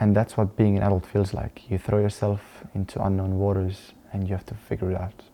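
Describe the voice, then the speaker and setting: A man with an Estonian accent speaks at a fairly quick pace in a flat monotone. His voice is fairly low in pitch, with a dark, mellow tone. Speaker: dance teacher and vlogger. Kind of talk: personal vlog talking to camera. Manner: halting, with repeated words and fillers.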